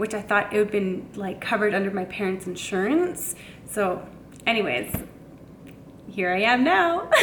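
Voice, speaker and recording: Medium-pitched female speech at moderate speed, carrying audible room echo. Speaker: vlogger. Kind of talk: casual vlog.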